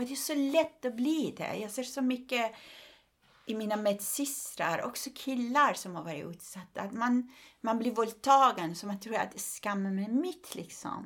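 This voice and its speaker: A woman speaks with a Persian accent at a fairly high pitch. Her intonation is lively and her pace fairly slow. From Iran. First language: Persian (speaking Swedish). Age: 50s. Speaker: comedian and human rights activist. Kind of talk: casual interview.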